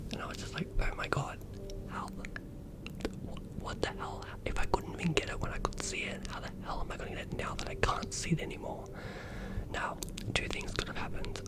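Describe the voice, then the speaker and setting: Over noticeable background noise, a man whispers at a fairly quick pace. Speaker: new ASMR creator. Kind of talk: ASMR whisper story-time. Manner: whispered, soft-spoken.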